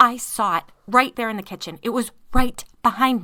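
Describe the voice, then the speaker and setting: In a put-on character voice, a female-sounding speaker goes shrill and fairly high in pitch, raised and projected, at a moderate pace in a very clean recording with a silent background. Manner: shrieking.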